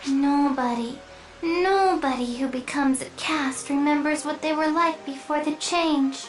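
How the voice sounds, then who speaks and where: A female-sounding put-on character voice talks at a moderate pace, high in pitch. Clear background noise runs underneath. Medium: video game. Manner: chirpy, singsong, repetitive.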